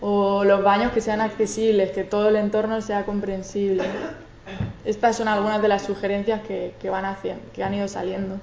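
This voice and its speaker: Over noticeable background noise and audible room echo, a woman talks at a moderate pace in a medium pitch with monotone, flat intonation. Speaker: social researcher. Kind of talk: conference talk. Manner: stuttering at times.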